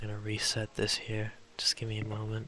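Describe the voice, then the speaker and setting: A soft-spoken man with a fairly low pitch, a relaxed yet bright, sharp tone, and a moderate pace. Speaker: gaming video creator. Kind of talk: relaxing let's play commentary. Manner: very quiet, soft-spoken; relaxed, improvised with fillers.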